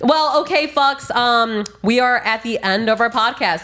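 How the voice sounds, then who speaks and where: Noticeable background noise sits behind the speaker, a woman. Her intonation is lively. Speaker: podcast host. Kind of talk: casual chat. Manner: halting.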